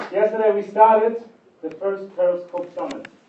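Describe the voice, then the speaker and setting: The speech comes at a moderate pace with noticeable background noise. Audible room echo hangs on the voice. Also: man. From Germany. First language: German. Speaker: conference speaker. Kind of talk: keynote talk. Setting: stage with audience.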